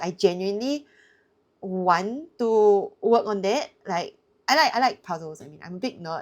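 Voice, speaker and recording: Her pitch medium and her pace moderate, a woman speaks in an ordinary speaking voice with lively intonation, captured in a very clean recording against a silent background. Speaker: bridge player and video creator. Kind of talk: casual self-review commentary.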